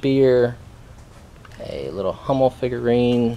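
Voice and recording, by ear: Slowly and at a medium pitch, a man talks in a dark, mellow tone with ordinary pitch variation.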